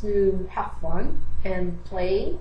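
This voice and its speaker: A woman speaks with a Spanish accent. Audible room echo and noticeable background noise surround her voice. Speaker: English teacher, video blogger. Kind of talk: video blog monologue. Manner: halting, self-correcting.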